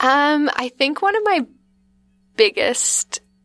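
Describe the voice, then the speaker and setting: Music plays in the background as a woman speaks in a dry, close sound with no echo. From Northwestern Ontario, Canada (Vermilion Bay). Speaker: pizza restaurant co-owner. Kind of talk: casual interview chat.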